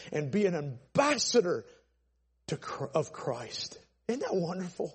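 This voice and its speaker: With an American accent, a man speaks fairly slowly in a high pitch. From Atlanta, Georgia, US South. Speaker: pastor. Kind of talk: sermon. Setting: church. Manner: loud; animated.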